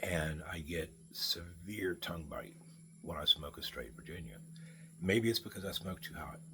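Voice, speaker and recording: A man speaks at a moderate pace, his loudness swinging widely. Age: 60s. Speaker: pipe smoking vlogger. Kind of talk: casual monologue. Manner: halting.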